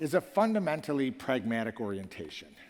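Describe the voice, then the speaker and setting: The speaker talks at a fairly quick pace with very wide pitch swings. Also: man. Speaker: professor and former foundation leader. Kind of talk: conference keynote speech. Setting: stage with audience. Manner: fast.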